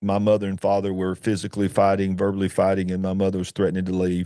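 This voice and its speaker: A man with a dark, mellow tone talks at a very fast pace in a very clean recording with a silent background. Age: 50s. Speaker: author. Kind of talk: testimony. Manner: emotional; halting.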